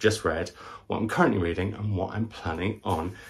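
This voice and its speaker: A man's fairly low voice comes out somewhat breathy. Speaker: book vlogger. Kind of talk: casual vlog chat. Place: home room. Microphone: camera far.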